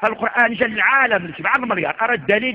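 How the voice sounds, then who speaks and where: An animated man speaks at a moderate pace with noticeable background noise behind him. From Morocco. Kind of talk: sermon.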